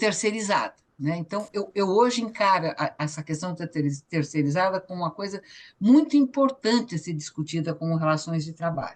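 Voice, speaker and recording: At a moderate pace, a woman with fairly low pitch speaks with lively intonation. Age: 60s. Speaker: photographer and cultural activist. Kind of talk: online meeting testimony. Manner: halting.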